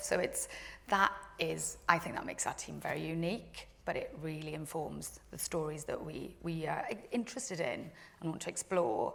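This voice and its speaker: A woman speaks at a moderate pace. She has a strong Welsh accent. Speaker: TV drama commissioner. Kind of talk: panel discussion.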